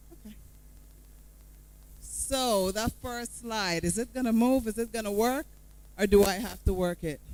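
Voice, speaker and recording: Speaking with a Guyanese accent, a woman uses a fairly high, animated voice at a fairly slow pace, with big swings in loudness and long, frequent pauses. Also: ordinary pitch variation. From Guyana, Georgetown. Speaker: motivational speaker. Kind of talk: motivational talk. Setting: stage with audience. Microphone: mic cutting out.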